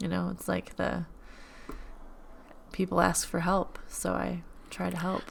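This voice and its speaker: A woman talks at a fairly slow pace, leaving long, frequent pauses. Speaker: podcast host and middle school teacher. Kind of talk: casual podcast chat. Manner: animated.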